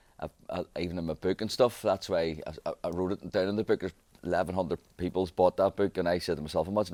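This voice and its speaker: The speaker has a Belfast accent and talks at a very fast pace. Pitch variation is ordinary. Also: man, dry, close sound with no echo. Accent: Belfast Northern Irish. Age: 40s. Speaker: barber. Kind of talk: interview. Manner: halting.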